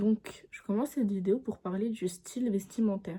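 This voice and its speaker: A woman's somewhat breathy voice, fairly high in pitch, with a dark, mellow tone, fairly even intonation and a fairly slow pace. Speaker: YouTuber. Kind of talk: casual chat. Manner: halting.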